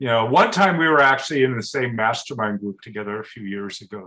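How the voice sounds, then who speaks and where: A man with an American accent speaks at a medium pitch in a bright, sharp tone. His intonation is lively, and the background is quiet. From US Pacific Northwest, Portland. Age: 60s. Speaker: entrepreneur and yoga enthusiast. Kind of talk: interview conversation.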